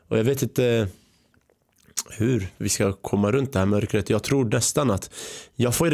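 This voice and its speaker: A man's medium-pitched voice at a moderate pace, with ordinary pitch variation and a quiet background. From Sweden, born in Iraq, arrived age 5. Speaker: podcast host. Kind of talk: podcast interview. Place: studio. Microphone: studio mic.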